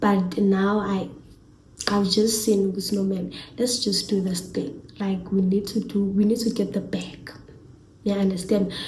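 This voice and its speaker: A woman speaks at a medium pitch and a fairly slow pace. Her intonation is monotone and flat, with audible room echo. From South Africa, Eastern Cape. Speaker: YouTuber. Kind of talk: casual vlog talk to camera.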